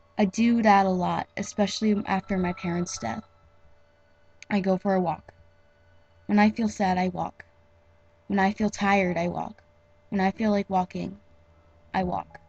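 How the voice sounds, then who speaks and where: A woman speaks at a moderate pace and medium pitch with fairly even intonation and a somewhat breathy quality. Long, frequent pauses break up the speech, and the sound is dry and close with no echo. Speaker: amateur fanfiction reader. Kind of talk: read story. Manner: somber.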